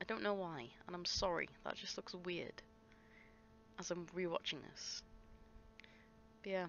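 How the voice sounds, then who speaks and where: A woman with an English accent mumbles at a moderate pace. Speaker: scrapbooking vlogger. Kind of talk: craft process voiceover. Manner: mumbling; halting.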